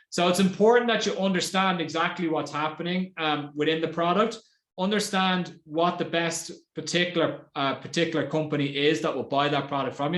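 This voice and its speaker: In an Irish accent, a man talks at a fairly quick pace in a high voice with ordinary pitch variation. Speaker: marketing executive. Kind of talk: webinar presentation. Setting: online webinar. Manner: fast.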